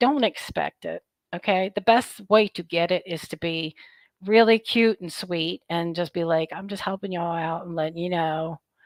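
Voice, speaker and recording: With an unremarkable speaking voice, a woman speaks at a moderate pace and fairly low pitch, her loudness swinging widely while her pitch variation stays ordinary, the sound dry and close with no echo. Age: 50s. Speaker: product reviewer, vlogger. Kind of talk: casual vlog talk to viewers. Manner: chatty, informal.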